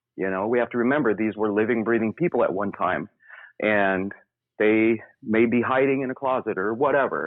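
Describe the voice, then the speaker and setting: Here is a man with an unremarkable speaking voice and an American accent. He talks at a medium pitch and a fairly quick pace, with ordinary pitch variation. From US South, Memphis, Tennessee. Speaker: paranormal investigator. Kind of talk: interview.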